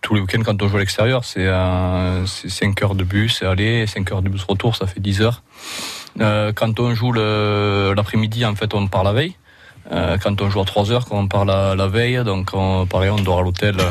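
A man speaks fairly slowly at a fairly low pitch. His intonation is monotone and flat. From southern France. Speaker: rugby league player. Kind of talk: radio interview. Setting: radio studio.

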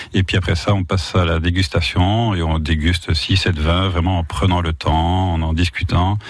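A man with a very deep, low pitch speaks at a moderate pace with fairly even intonation and a somewhat breathy voice. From Belgium, Wallonia. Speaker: wine shop manager. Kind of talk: radio interview.

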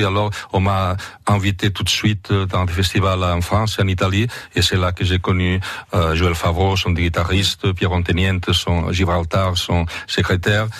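A man's somewhat breathy, very deep, low voice with fairly even intonation. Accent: Catalan. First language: Catalan (speaking French). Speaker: singer and translator. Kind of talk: radio interview. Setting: studio. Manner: halting.

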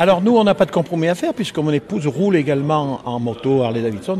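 With noticeable background noise, a man speaks very fast at a fairly high pitch, using very wide pitch swings. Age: 70s. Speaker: biker club member. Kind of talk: casual interview.

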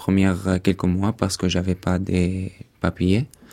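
With an Arabic accent, a man talks at a fairly slow pace and a very deep, low pitch, his tone dark and mellow and his intonation monotone and flat. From Syria (Damascus), partly raised in Dubai. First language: Arabic (speaking French). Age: 20s. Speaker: refugee, former law student. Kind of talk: testimony. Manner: halting.

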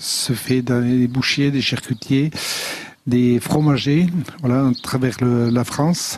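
Noticeable background noise beneath fairly even intonation. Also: man. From French Basque Country, Aldudes valley. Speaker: pig farmer and charcuterie business owner. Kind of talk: radio interview. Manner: halting.

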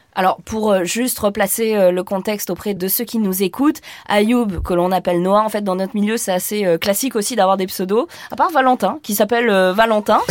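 A woman talks at a moderate pace in a medium pitch, with ordinary pitch variation. Hers is a normal speaking voice. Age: 50s. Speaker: podcast host. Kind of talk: studio discussion.

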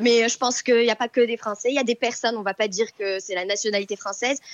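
A woman talks at a very fast pace and a high pitch against noticeable background noise. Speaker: caller. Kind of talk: casual chat.

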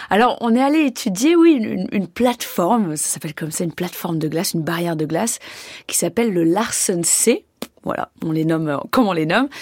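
This is a normal speaking voice at a fairly quick pace. The intonation is lively. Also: woman, medium pitch for a woman. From French Alps, near Annecy. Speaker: glaciologist. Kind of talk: radio interview.

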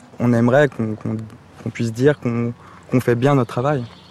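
Monotone, flat intonation marks this man's medium-pitched delivery. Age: 30s. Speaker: nursing assistant. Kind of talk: on-the-job interview. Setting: nursing home.

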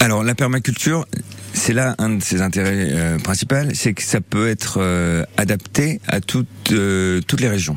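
Against noticeable background noise, a man with a fairly low pitch talks with lively intonation. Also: fairly slow pace. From Normandy, rural. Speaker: permaculture gardener. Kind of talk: radio interview. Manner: halting, many hesitations.

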